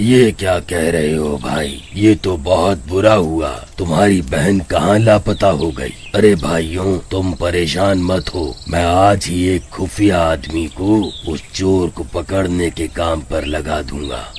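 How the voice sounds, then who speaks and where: Against clear background noise, a man does a put-on character voice with a very deep, low pitch at a fairly slow pace. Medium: read story. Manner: authoritative.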